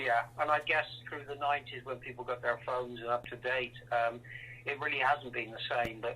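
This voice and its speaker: In a West Country accent, a man speaks at a moderate pace with a bright, sharp tone and monotone, flat intonation. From west of England, Welsh borders. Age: 60s. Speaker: rock drummer. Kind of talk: interview.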